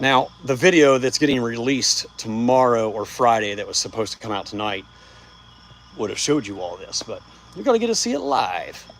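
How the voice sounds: A man speaks at a moderate pace in a medium pitch, his fairly bright tone carrying big pitch swings and some vocal fry.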